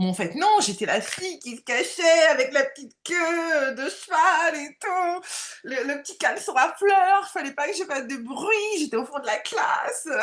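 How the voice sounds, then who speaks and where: Loud and extremely high, a woman's voice moves at a fairly slow pace. Her pitch swings very widely. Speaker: medium and coach, former job counselor. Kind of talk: interview. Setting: live video stream. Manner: halting, many fillers.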